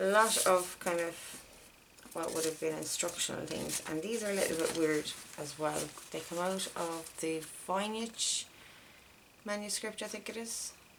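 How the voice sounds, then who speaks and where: The speech comes with long, frequent pauses against noticeable background noise. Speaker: crafter showing a handmade journal. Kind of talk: casual video flip-through. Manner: hesitant, many fillers. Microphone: may be too quiet.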